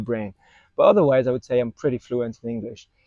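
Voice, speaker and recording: A man speaks with a French accent. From France. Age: 20s. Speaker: vlogger. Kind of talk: casual vlog monologue. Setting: outdoors in a park. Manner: halting, many fillers. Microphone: wireless clip-on mic on phone.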